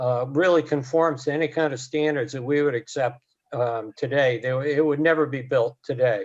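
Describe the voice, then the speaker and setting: Moderate pace and fairly even intonation from a man with a fairly high pitch. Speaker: real estate appraiser. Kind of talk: expert testimony. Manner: halting; soft-spoken.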